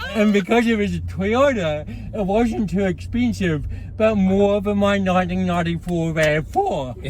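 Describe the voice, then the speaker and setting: At a moderate pace, a man speaks through noticeable background noise and audible room echo. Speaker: motivational speaker. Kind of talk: interview.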